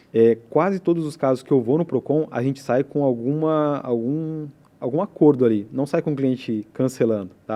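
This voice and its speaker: Speech with hardly any pauses and ordinary pitch variation. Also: man, fairly high pitch for a man. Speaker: telecom company representative. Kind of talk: podcast interview. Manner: fast.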